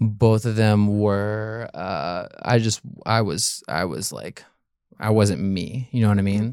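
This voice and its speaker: A man with a Southern US accent talks at a fairly slow pace and fairly low pitch on a very clean recording with a silent background. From US South, Memphis, Tennessee. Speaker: dating show contestant. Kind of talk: casual chat. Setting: studio.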